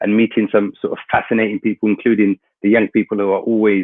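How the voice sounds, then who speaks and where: A man with a London accent at medium pitch, talking at a fairly quick pace. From London, England. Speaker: international organisation representative. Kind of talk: webinar talk. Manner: hesitant, many fillers.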